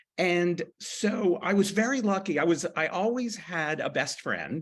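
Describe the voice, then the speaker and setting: A man with a high pitch talks at a fairly slow pace with ordinary pitch variation. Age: 60s. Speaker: author. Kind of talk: panel discussion.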